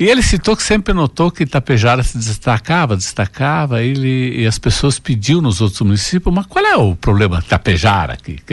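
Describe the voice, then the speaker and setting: This man speaks at a moderate pace with medium pitch, very wide pitch swings, a somewhat breathy quality and hardly any pauses. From Água Santa, Rio Grande do Sul, southern Brazil. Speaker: business owner. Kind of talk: radio interview.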